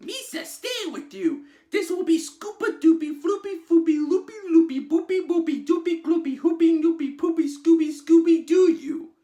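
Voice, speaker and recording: A man's put-on character voice, extremely high in pitch, at a moderate pace with hardly any pauses. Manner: silly, babbling.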